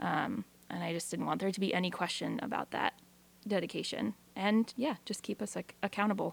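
A woman with a Pacific Northwest accent, medium pitch, ordinary pitch variation, vocal fry and a fairly quick pace, in a dry, close sound with no echo. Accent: Pacific Northwest American. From Eastern Washington. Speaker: radio program director. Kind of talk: radio interview.

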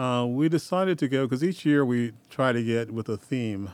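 A man with a normal speaking voice and an American accent talks at a moderate pace and medium pitch on a very clean recording with a silent background. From Oregon. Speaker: film festival organizer. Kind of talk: casual radio interview.

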